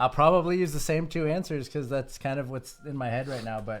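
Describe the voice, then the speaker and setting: A man with an American accent talks at a fairly quick pace in a fairly high pitch with ordinary variation, music playing in the background. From US West, California (San Ramon, East Bay). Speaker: podcast co-host, artist. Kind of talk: casual chat. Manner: loud.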